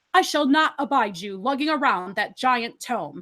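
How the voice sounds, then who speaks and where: Put-on character voice from a woman, high-pitched and moderately paced, in a very clean recording with a silent background. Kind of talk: stiff, lofty. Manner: condescending.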